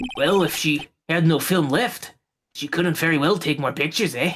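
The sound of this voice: A put-on character voice, gruff and gravelly, moves at a moderate pace with music in the background. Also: man, fairly high pitch for a man.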